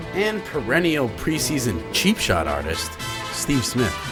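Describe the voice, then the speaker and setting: Music plays in the background as a man speaks at a fairly slow pace with very wide pitch swings. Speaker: voice-over narrator. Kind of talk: mock-epic sports season preview narration.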